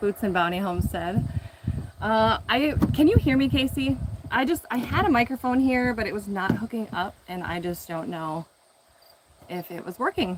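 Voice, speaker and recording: Mumbled speech at a moderate pace with lively intonation, big swings in loudness and noticeable background noise. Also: woman. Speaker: home gardener and video creator. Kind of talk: casual live stream garden tour. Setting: outdoors in garden, live stream. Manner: mumbling; casual with many fillers.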